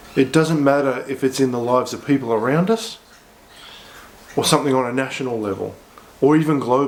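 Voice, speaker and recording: Someone with an Australian accent talks over noticeable background noise. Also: man. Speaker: pastor. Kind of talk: short devotional sermon to camera.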